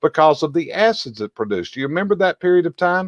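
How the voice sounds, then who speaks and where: A man with a Southern US accent has a fairly high pitch. The sound is dry and close with no echo, over a quiet background. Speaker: chimney industry expert and show host. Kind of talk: educational video discussion.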